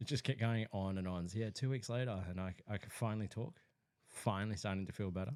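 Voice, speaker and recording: A man with a fairly low pitch, very fast pace and ordinary pitch variation. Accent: Australian. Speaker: podcast co-host. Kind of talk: casual chat.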